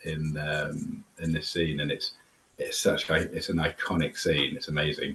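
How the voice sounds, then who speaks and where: Over noticeable background noise, a man speaks quietly at a fairly slow pace. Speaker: whisky tasting host. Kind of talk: casual chat. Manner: quiet, keeping voice down.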